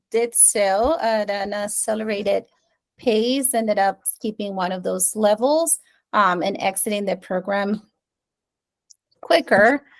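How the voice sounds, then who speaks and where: A woman with a Spanish accent speaks at a fairly high pitch. Her pace is very slow, with long, frequent pauses. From Venezuela. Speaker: curriculum specialist. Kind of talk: presentation.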